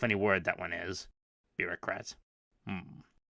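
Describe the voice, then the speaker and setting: Putting on a raspy character voice, a man speaks at fairly low pitch and a moderate pace in a dry, close sound with no echo. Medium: read story. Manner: slow, thoughtful, blunt.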